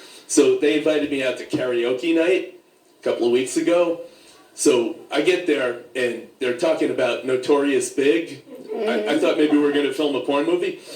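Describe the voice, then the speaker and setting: Fairly high in pitch with ordinary variation, a man talks at a moderate pace amid noticeable background noise and audible room echo. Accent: American. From New York, Staten Island. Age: 60s. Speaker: comedian. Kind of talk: stand-up.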